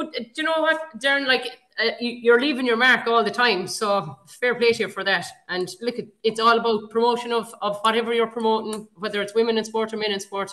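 Over a quiet background, a woman with an Irish accent talks at a fairly quick pace, her fairly high pitch showing ordinary pitch variation and a bright, sharp tone. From Ireland. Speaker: podcast host. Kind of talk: casual chat. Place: home room. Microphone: webcam.

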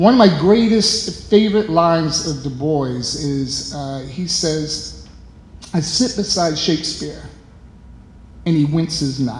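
There is audible room echo as a man speaks at a very slow pace. His intonation is lively. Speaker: artist. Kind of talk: exhibition talk. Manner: animated. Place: hall. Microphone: handheld.

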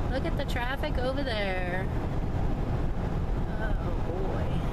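Loud background noise surrounds the woman's speech. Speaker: jeep vlogger on road trip. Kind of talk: casual vlog chat. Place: car. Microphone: phone near.

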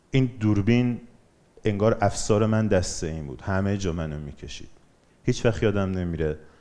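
At a moderate pace, a man with a dark, mellow tone speaks in a fairly low pitch with ordinary pitch variation. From Iran, Bandar Anzali (Gilan); Gilan, Iran. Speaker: documentary filmmaker and photographer; guest. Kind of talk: motivational talk; public talk. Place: hall. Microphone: headset.

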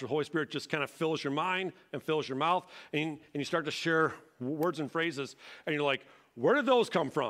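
Here a man with an American accent talks at a fairly quick pace and fairly high pitch, with ordinary pitch variation. The background is quiet. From Michigan, Detroit area. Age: 40s. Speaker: pastor. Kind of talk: sermon. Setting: church. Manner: animated. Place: church. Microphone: headset.

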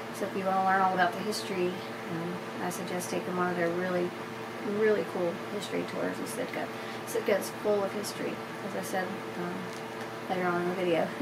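A woman speaks with ordinary pitch variation. Loud background noise is present. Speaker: naturalist tour guide. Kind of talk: casual vlog chat. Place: home room. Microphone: camera far.

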